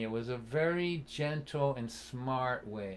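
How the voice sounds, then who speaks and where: This speaker talks with a Boston accent and ordinary pitch variation. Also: man. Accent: Boston area. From Massachusetts (Lynn, near Boston). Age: 60s. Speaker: folk singer-songwriter and storyteller. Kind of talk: storytelling in a live-streamed concert. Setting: live stream concert. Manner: animated.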